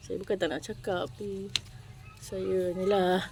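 Over noticeable background noise, a woman talks at medium pitch with ordinary pitch variation. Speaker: vlogger. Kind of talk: casual chat. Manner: animated.

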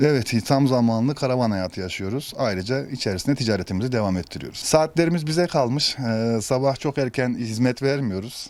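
At a fairly quick pace, a man speaks with lively intonation and a medium pitch. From Kayseri, central Anatolia, Turkey. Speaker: hairdresser living in a converted bus. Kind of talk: interview. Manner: hesitant, many filler sounds.

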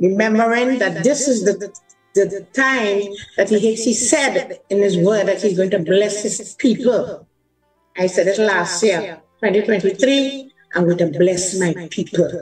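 A woman's very slow speech with ordinary pitch variation and very even loudness, faint music in the background. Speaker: pastor, remote guest. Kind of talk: sermon. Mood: warm, praising. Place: home room. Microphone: video call.

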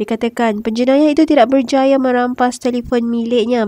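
Heard in a dry, close sound with no echo, a woman speaks at a moderate pace with a high pitch, a dark, mellow tone and fairly even intonation. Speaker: voice-over narrator. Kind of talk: news commentary narration.

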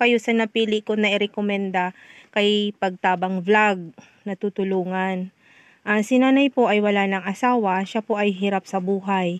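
This woman has an ordinary speaking voice at a medium pitch, with fairly even intonation. She speaks at a moderate pace, and the sound is dry and close with no echo. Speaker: community helper recommending aid recipients. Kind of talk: on-site vlog narration.

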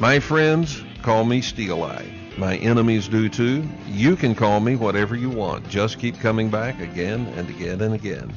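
A man with a fairly low pitch talks while music sounds in the background. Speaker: radio show host. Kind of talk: radio show sign-off.

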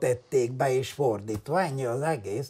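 A man talks in a dark, mellow tone. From Transylvania, Háromszék (Romania). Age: 80s+. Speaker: geologist and journalist. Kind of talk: interview. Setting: at home.

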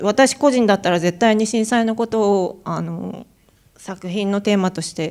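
Pitch variation is ordinary, and the background is quiet. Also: woman. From Japan. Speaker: artist; panelist. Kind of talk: artist talk. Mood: calm, reflective. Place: hall. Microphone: handheld.

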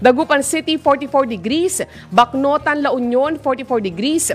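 Faint music plays in the background as a woman with a high pitch talks at a fairly slow pace. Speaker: radio news anchor. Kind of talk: news reading and commentary. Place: studio. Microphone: studio mic.

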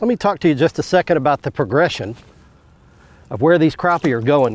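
A man speaks at a moderate pace with a slightly mellow tone. His pitch shows ordinary variation.

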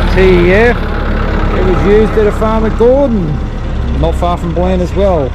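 The sound is dry with no echo, though noticeable background noise runs underneath. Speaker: tractor owner showing his tractors. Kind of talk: casual vlog commentary. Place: open country. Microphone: phone near.

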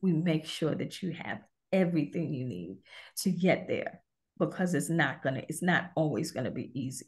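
A woman with an American accent speaks at a very deep, low pitch with vocal fry. She keeps a moderate pace and ordinary pitch variation over a quiet background. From Brooklyn, New York; New York. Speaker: author and women's advocate; interview guest. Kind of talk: interview. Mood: earnest, reflective. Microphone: video call.

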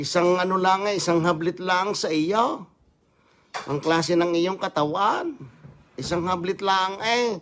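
The voice has an animated tone and moves at a fairly slow pace. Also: man, high pitch for a man, ordinary pitch variation. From Batangas, Philippines; Philippines. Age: 60s. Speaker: vlogger. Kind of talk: angry livestream rant. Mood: boastful, defiant. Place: home room. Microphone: phone near.

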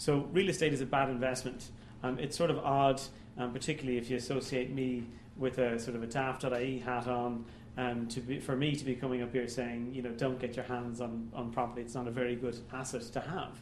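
A man's fairly quick, monotone delivery, flat in intonation, with audible room echo and light background noise. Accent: Irish. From Ireland. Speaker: economist giving a public talk. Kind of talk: lecture. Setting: stage with audience. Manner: halting. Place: hall.

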